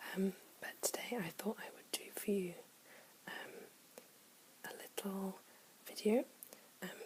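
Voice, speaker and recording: The speaker is soft-spoken, moving at a fairly slow pace with long, frequent pauses. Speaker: ASMR creator. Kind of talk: ASMR soft-spoken.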